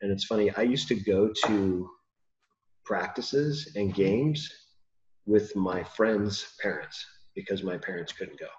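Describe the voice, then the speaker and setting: A man with an American accent at a fairly low pitch, somewhat breathy, with ordinary pitch variation, a fairly slow pace and long, frequent pauses. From California. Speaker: podcast host and father. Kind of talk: casual interview chat. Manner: hesitant, many fillers.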